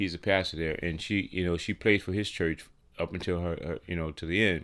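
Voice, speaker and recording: Here a man talks with a New Orleans accent. His pace is fairly quick. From New Orleans, Louisiana. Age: 60s. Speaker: professional drummer. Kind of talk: interview conversation. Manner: halting, many fillers.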